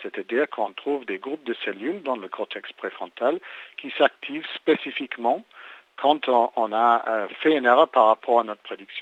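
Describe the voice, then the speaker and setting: A man speaks at medium pitch, moving at a moderate pace with the usual amount of pitch movement. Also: big swings in loudness. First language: English (speaking French). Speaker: neuroscience researcher. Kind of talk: interview. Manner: halting, many repetitions and hesitations.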